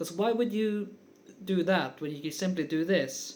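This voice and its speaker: Lively intonation at a moderate pace, with a non-native accent. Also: man. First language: not English. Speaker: guitar teacher. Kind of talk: tutorial. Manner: casual, with frequent fillers.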